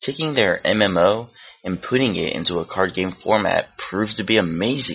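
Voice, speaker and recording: An unremarkable speaking voice from a man, fairly low in pitch, with ordinary pitch variation and a moderate pace. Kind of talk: video game award review narration.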